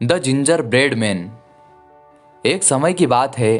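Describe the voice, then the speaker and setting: With music in the background, a man with a fairly high pitch talks in a lively intonation. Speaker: voice-over narrator. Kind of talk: children's story narration. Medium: read story.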